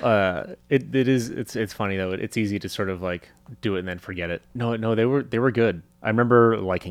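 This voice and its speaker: In a plain, everyday voice, a man speaks at a fairly quick pace and fairly low pitch with ordinary pitch variation and hardly any pauses, on a very clean recording with a silent background. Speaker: comedy writer and musician. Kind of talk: casual interview chat.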